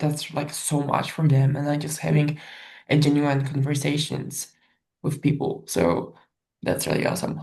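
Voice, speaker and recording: Her tone dark and mellow, a woman speaks with vocal fry and monotone, flat intonation. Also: moderate pace. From Poland, small village. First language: Polish. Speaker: professional volleyball player. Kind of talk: interview. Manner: many fillers, casual.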